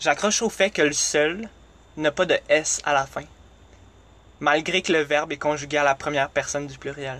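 A man with a Quebec accent speaks at a moderate pace, his fairly high voice bright and sharp in tone with fairly even intonation. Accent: Québécois French. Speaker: podcast host. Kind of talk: solo monologue. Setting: recording in a closet.

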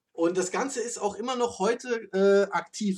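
A man speaks at a moderate pace. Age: adult. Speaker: car podcast host and moderator. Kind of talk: casual chat.

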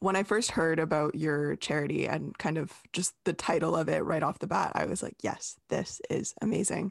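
A woman with an unremarkable speaking voice and a fairly low pitch, at a moderate pace with hardly any pauses, against a quiet background. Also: ordinary pitch variation. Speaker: podcast host. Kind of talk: podcast interview, scripted intro then casual conversation.

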